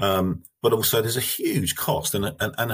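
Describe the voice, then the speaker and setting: A man talks at a moderate pace on a very clean recording, the background silent. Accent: English. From England. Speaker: manufacturing company CEO. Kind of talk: interview.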